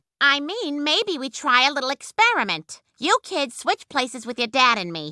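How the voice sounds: A cartoonish character voice at a moderate pace, with very wide pitch swings and big swings in loudness, dry and close with no echo. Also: woman, high pitch for a woman.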